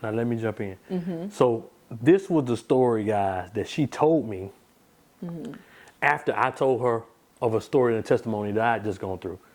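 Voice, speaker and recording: With an American accent, a man talks at a moderate pace and medium pitch, using lively intonation and long, frequent pauses, in a very clean recording with a silent background. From Deep South, US. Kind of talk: podcast conversation.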